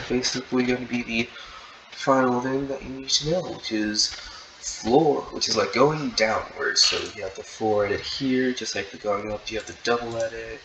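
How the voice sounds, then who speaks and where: Against noticeable background noise, a man at a medium pitch speaks at a moderate pace with ordinary pitch variation and big swings in loudness. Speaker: gaming tutorial creator. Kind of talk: tutorial. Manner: halting, many repeated words.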